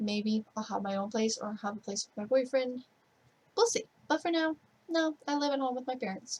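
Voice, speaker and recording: A woman with a high pitch speaks quietly at a moderate pace, with lively intonation and big swings in loudness. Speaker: gaming streamer. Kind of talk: casual Q&A vlog. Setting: bedroom at parents' home, night. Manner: kept quiet, low-key; rambling.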